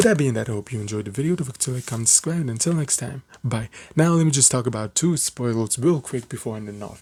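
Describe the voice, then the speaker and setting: Man with a dark, mellow tone, somewhat breathy, lively in intonation, at a fairly quick pace. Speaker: anime reviewer. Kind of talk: video review. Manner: fast; casual, halting with fillers.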